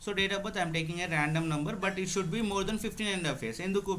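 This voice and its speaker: A man speaks with ordinary pitch variation, and audible room echo is heard. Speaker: tax instructor. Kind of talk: online class tutorial. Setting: video call, screen share.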